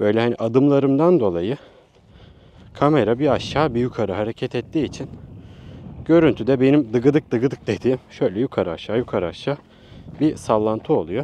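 A man with a dark, mellow tone and medium pitch talks at a fairly quick pace with lively intonation, broken by long, frequent pauses. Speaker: vlogger / tech reviewer. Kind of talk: vlog product review. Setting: outdoors at a seaside picnic.

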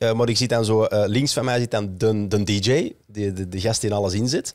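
Here a man is speaking. The background is quiet and the sound is dry with no echo. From Flanders. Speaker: podcast host. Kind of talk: casual chat. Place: studio. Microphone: studio mic.

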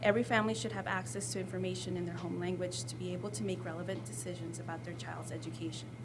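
This woman talks at a very fast pace with hardly any pauses, in an American accent. Room echo is audible. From El Salvador, raised in the US. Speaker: school community liaison, former language teacher. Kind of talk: presentation. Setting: school board meeting. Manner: formal.

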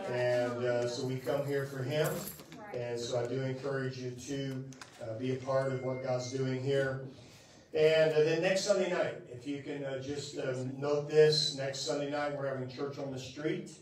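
A man at a moderate pace, his intonation fairly even, with audible room echo. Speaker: preacher. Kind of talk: church announcements. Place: church. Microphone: camera far.

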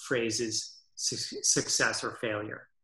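In a very slow pace, a man with an American accent and a bright, sharp tone speaks against a quiet background with audible room echo. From US Northeast, Massachusetts. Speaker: orchestral clarinetist and mouthpiece maker. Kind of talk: interview conversation. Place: home room. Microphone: webcam.

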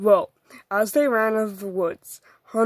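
Someone reads aloud in a natural voice, pitch varying in an ordinary way, and the background stays quiet.

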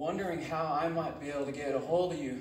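Speaking at a moderate pace with ordinary pitch variation, a man is heard over light background noise with audible room echo. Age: 20s. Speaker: spoken word poet. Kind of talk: spoken word poetry performance. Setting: live audience at a retreat. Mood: earnest, reflective. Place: hall.

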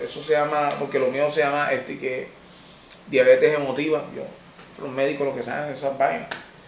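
A man with a fairly high pitch speaks at a fairly quick pace in a monotone, flat intonation, with long, frequent pauses. Audible room echo and light background noise are present. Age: 30s. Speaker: comedian. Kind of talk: personal life-story monologue. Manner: halting. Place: office.

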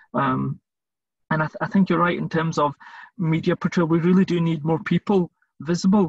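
In a dry, close sound with no echo, a man with a high pitch talks at a very fast pace in a monotone, flat intonation, with long, frequent pauses. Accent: Scottish. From Scotland. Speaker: volunteer interviewer for a charity. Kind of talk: interview.

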